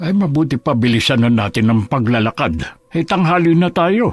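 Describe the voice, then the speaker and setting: Put-on character voice from a man, pitched fairly high and delivered at a moderate pace. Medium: audio drama. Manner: fretful, exclamatory.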